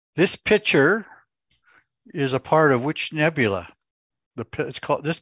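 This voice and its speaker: Over a quiet background, a man with vocal fry and lively intonation talks at a fairly slow pace, with long, frequent pauses. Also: dry sound with no echo. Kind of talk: game show host reading Jeopardy-style clues and calling on contestants. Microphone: video call.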